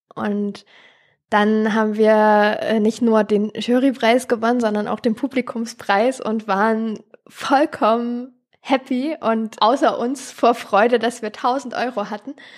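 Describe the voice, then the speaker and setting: A woman with a fairly high pitch speaks at a very slow pace. Her intonation is fairly even. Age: 20s. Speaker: charity co-founder and paramedic. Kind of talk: interview.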